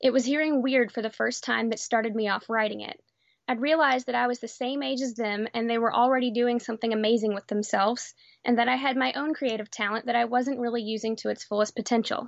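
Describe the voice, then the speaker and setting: In an unremarkable speaking voice, a woman talks at a fairly quick pace, fairly high in pitch, with fairly even intonation. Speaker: librarian. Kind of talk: reading aloud.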